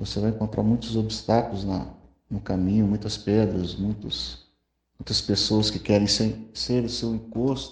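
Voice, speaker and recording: The man's voice is somewhat breathy. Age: 30s. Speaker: wheelchair user sharing personal story. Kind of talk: testimony. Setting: WhatsApp voice message.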